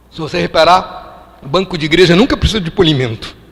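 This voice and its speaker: Against noticeable background noise, a man with a high pitch talks at a moderate pace with ordinary pitch variation. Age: 60s. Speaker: preacher. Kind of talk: sermon.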